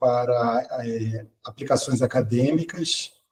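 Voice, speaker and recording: Somewhat breathy and dark, mellow in tone, a man speaks at a very slow pace in a medium pitch. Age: 60s. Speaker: quantum computing researcher and professor. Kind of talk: podcast interview. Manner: hesitant, many fillers.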